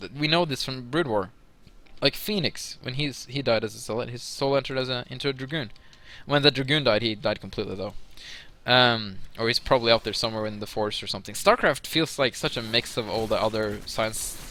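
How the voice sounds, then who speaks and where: A man's medium-pitched voice with a bright, sharp tone, ordinary pitch variation and a fairly quick pace. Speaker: esports caster. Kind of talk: live commentary. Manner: fast; animated.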